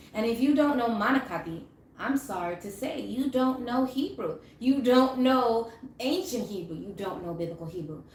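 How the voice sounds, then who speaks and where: At a moderate pace, a woman with a fairly high pitch and lively intonation speaks amid audible room echo and noticeable background noise. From Massachusetts, Cape Verdean community. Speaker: religious teacher and clothing seller. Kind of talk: live religious teaching. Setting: livestream. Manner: hesitant with fillers.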